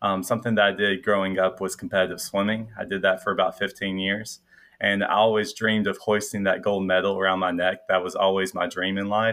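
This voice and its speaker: With a slight Southern US accent, this man talks at a fairly quick pace with hardly any pauses, his fairly low voice flat and monotone. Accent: slight Southern US twang. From Middle Tennessee. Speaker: medical student, incoming psychiatry resident. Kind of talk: casual interview chat.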